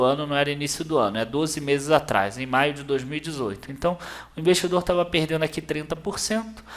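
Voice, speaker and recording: An ordinary speaking voice with ordinary pitch variation at a fairly quick pace. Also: man. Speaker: investment channel host. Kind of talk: tutorial.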